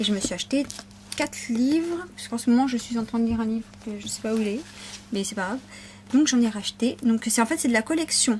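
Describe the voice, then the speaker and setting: A woman talks at a very fast pace with a fairly high pitch and ordinary pitch variation, leaving long, frequent pauses amid noticeable background noise. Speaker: shopping haul vlogger. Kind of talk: casual vlog haul.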